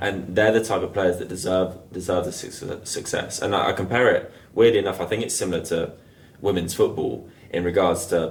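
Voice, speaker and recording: With audible room echo, a man speaks at a fairly low pitch and a fairly quick pace, his intonation fairly even. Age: 20s. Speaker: futsal player and youth coach. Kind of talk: casual podcast chat.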